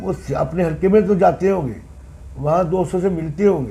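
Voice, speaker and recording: A man's high-pitched voice with fairly even intonation and audible room echo. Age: 60s. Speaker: former municipal councillor. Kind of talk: interview.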